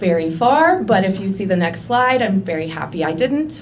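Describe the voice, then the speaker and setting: A woman speaks at a moderate pace in a medium pitch. The room echo is audible, and there is noticeable background noise. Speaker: accountant. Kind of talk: personal presentation. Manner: loud.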